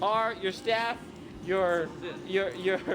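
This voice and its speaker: A man's high-pitched, energetic voice over noticeable background noise. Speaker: TV morning show field reporter. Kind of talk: live TV field report. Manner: fast, energetic; animated.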